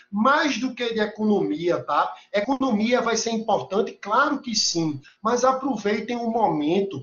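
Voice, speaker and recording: With a Recife accent, a man speaks high at a fairly slow pace, his tone animated and his intonation lively. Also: hardly any pauses. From Recife, northeastern Brazil. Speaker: university lecturer. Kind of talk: lecture. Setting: video call.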